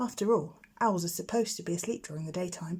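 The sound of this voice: A woman speaks with a dark, mellow tone and a slightly husky edge. Her pitch is fairly low, with ordinary pitch variation.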